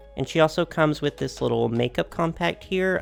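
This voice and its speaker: Music plays in the background as a man speaks. His tone is upbeat and his pace moderate. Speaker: doll collector youtuber. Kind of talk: unboxing video. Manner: casual, upbeat.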